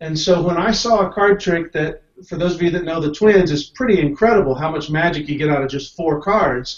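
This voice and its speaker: A man with a high pitch talks at a fairly quick pace, hardly pausing, with ordinary pitch variation. Audible room echo sits over a quiet background. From US South, Tennessee (Knoxville). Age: 40s. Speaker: card magician, Air Force veteran. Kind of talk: panel discussion. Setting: video call. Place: home room. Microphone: video call.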